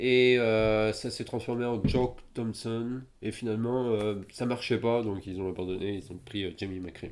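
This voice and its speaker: This man speaks at a very slow pace with fairly even intonation and a medium pitch. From France. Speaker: podcast co-host. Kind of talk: casual chat.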